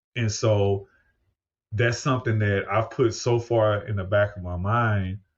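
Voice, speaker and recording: A man's somewhat breathy, fairly low voice with an American accent, fairly even intonation and a fairly slow pace. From US Midwest (St. Louis, Missouri). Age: 50s. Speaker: podcast host and paramedic. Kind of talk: podcast interview. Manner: conversational.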